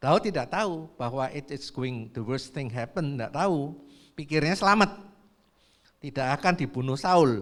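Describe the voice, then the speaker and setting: Over a very clean recording with a silent background, a man talks at a moderate pace with very wide pitch swings. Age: 70s. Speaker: preacher. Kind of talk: sermon.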